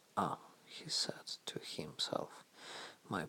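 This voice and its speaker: A man talks with a non-native accent. His pace is very slow. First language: not English. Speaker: storyteller. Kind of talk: reading aloud.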